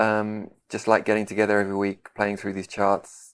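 A man speaks at a moderate pace with a fairly low pitch. The recording is very clean, with a silent background. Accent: London. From London, England. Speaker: composer and guitarist. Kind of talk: interview conversation.

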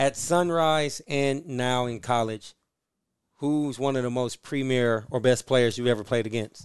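An ordinary speaking voice from a man at a medium pitch, with fairly even intonation and a fairly slow pace. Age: 30s. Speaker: sports podcast co-host. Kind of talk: interview; casual chat. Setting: hotel room.

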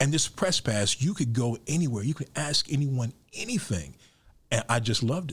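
A man with an American accent speaks at a medium pitch and a moderate pace. His voice is somewhat breathy, with lively intonation and very even loudness. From Chicago South Side. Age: 50s. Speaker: architecture critic and author. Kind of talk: interview.

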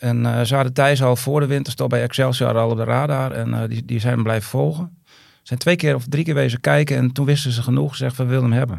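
A man races along at a very fast pace with hardly any pauses. His loudness swings widely while his pitch varies in an ordinary way. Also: medium pitch for a man. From Groningen province, Netherlands. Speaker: footballer's father. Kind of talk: casual interview. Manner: halting, many repetitions.

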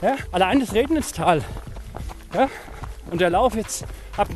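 The man's intonation is lively. Noticeable background noise runs underneath. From Franconia, Germany. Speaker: running podcast host. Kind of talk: casual chat. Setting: outdoors, walking.

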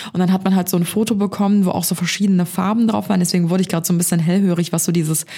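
A woman's voice at very even loudness. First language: not English; speaks German natively (speaking German). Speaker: podcast co-host. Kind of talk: casual chat.

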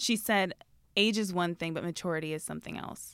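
A normal speaking voice, a woman's, fairly low in pitch, with lively intonation and a fairly quick pace on a very clean, silent-background recording. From Canada. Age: 20s. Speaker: magazine editor. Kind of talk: casual chat.

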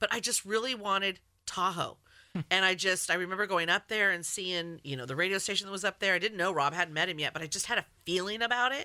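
At a very fast pace, a woman speaks in a bright, sharp tone at medium pitch. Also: ordinary pitch variation, very clean recording, silent background. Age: 50s. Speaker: radio host. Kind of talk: casual chat.

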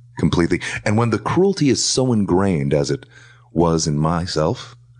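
The speaker is a man. Noticeable background noise can be heard. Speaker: radio host; podcast guest. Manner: calm, slow, gentle.

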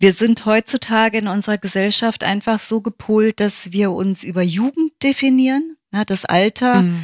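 A woman's normal speaking voice, fairly high in pitch, with hardly any pauses and a dry, close sound with no echo. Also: ordinary pitch variation, moderate pace. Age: 50s. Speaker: yoga teacher and physiotherapist. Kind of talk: interview.

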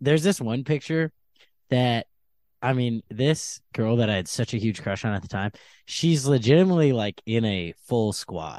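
Against a quiet background, a man with an ordinary speaking voice talks at a moderate pace and medium pitch, his intonation lively and the sound dry and close with no echo. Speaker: comedian. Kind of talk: casual chat.

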